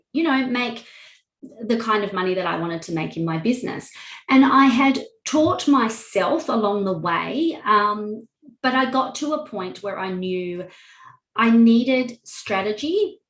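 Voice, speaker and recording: A woman with an Australian accent speaks at a fairly slow pace, somewhat breathy, with audible room echo. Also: fairly high pitch for a woman. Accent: Australian twang. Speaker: wedding officiant and online course creator. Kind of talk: interview testimony.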